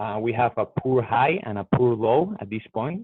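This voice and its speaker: A man talks at a fairly slow pace. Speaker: trading educator. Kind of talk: live trading review tutorial. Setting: live stream. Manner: hesitant, many fillers.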